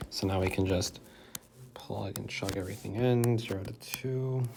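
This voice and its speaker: There is noticeable noise behind the voice. A man talks, his pitch moving in a normal way. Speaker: math tutor. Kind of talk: tutorial. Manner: casual, conversational.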